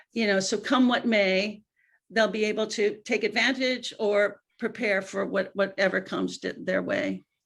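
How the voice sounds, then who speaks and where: A woman speaks at medium pitch with vocal fry and fairly even intonation. The pace is moderate, and the recording is very clean with a silent background. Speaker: venture investor. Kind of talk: panel discussion.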